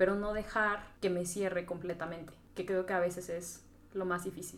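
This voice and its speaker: A woman with a central Mexican accent, medium in pitch, at a moderate pace with fairly even intonation, over noticeable background noise. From Mexico, Tlaxcala. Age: 20s. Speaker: podcast guest, marketing graduate. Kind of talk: casual chat.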